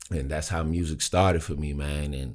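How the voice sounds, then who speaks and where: A man with an American accent and a very deep, low pitch speaks at a fairly slow pace in a very clean recording with a silent background. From Maryland, DC area, US. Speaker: rapper and music artist. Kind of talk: casual interview chat.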